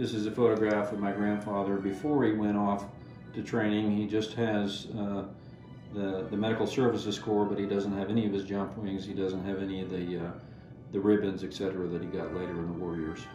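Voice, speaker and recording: A man speaks fairly quickly in a fairly low, flat monotone, with clear music playing in the background. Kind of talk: interview answer. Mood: calm, reflective, proud. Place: home room.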